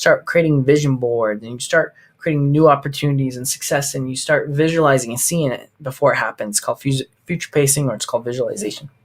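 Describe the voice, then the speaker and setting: This man's pitch is fairly high and his voice somewhat breathy. He speaks at a very fast pace. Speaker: podcast host, sales coach. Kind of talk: motivational podcast monologue. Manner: animated.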